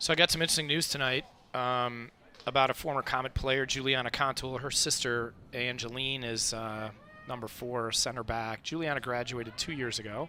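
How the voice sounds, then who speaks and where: A man with a medium-pitched voice talks at a fairly quick pace with fairly even intonation. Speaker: sports commentator. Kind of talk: live commentary. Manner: loud.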